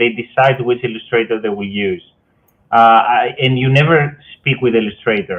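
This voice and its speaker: Speaking with a Greek accent, a man uses a medium pitch and ordinary pitch variation. His pace is moderate, broken by long, frequent pauses. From Greece. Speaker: fantasy author. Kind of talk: interview. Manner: halting.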